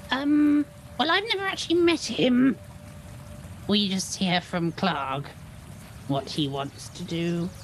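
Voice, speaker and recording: A put-on character voice at middle pitch, fairly slow, with long, frequent pauses and clear background noise. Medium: actual play. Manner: nervous, pleading, rambling.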